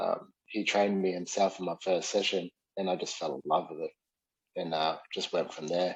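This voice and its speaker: Speaking with a slight New Zealand accent, a man delivers monotone, flat intonation at a very deep, low pitch. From New Zealand, South Auckland. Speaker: Muay Thai and MMA coach, former fighter. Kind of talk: casual interview chat. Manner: halting, many fillers.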